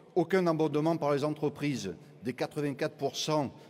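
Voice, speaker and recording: Here a man speaks at a moderate pace, with a fairly high pitch. He has a Marseille accent. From southern France, Marseille. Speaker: trade union delegate. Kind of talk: congress speech.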